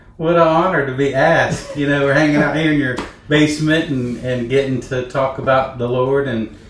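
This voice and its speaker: A man with an American accent talks at a fairly quick pace, his fairly high voice keeping a fairly even intonation. The recording has audible room echo and noticeable background noise. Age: 60s. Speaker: church bishop. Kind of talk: casual interview. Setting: home basement.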